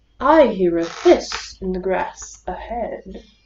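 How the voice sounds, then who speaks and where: A woman uses a put-on character voice at a medium pitch. She speaks at a fairly slow pace. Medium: read story.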